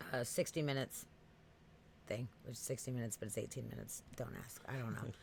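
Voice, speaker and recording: The tone is animated, in an East Coast US accent. The pace is very fast. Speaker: podcast host. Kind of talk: casual chat. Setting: live stream.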